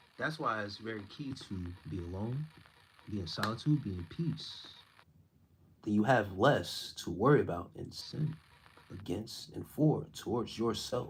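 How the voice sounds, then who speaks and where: A man speaks at a fairly low pitch. His voice is somewhat breathy. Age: 30s. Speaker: spiritual content creator. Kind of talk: live stream chat reading comments. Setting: live stream. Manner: stumbling over words.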